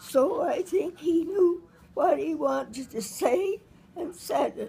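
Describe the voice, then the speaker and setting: Very wide pitch swings mark a woman's speech at a very slow pace. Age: 80s+. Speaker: retired high school teacher. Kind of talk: casual conversation, interview answer.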